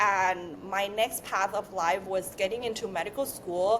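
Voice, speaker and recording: This woman's medium-pitched voice moves at a fairly slow pace. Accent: non-native. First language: not English. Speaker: beauty brand founder, former beauty influencer. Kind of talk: podcast interview.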